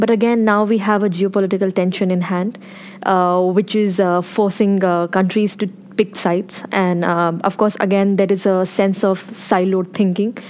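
A woman talks in a monotone with flat intonation, and noticeable background noise can be heard. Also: medium pitch for a woman, moderate pace, very even loudness. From India. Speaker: policy researcher. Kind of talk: panel discussion.

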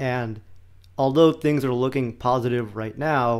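Here is a normal speaking voice, delivered at a moderate pace and with fairly even intonation. Behind it the background is silent, and the recording is very clean. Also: man. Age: 20s. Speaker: podcast host. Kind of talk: casual political chat.

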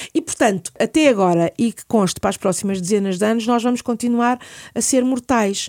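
On a very clean recording with a silent background, a woman talks at a fairly quick pace with a fairly high pitch, ordinary pitch variation and big swings in loudness. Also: dry, close sound with no echo. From Portugal, Lisbon. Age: 50s. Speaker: palliative care physician. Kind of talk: interview.

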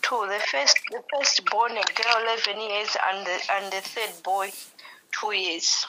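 Over noticeable background noise, a woman at a medium pitch speaks at a very slow pace with ordinary pitch variation. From Malawi. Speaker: caller seeking healing. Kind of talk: phone call with pastor. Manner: halting.

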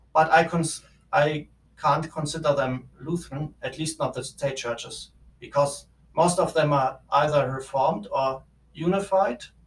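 Somewhat breathy, a man talks at a fairly slow pace with fairly even intonation. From Germany. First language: German. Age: 20s. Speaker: theology student. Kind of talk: interview. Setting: office. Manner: halting.

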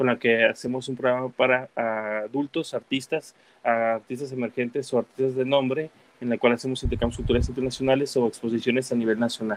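In a monotone, flat intonation, a man speaks at a fairly quick pace. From Guadalajara, Mexico, raised partly in the US. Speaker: muralist and visual artist. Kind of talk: casual interview. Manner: halting, many fillers and repetitions.

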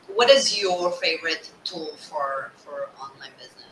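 A woman talks at a fairly slow pace while noticeable background noise runs behind her. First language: not English. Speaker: podcast host, business coach. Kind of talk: interview. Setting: video call.

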